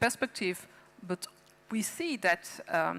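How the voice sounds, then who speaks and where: A woman speaks with a French accent. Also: dry, close sound with no echo. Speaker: policymaker. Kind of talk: panel discussion. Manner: halting.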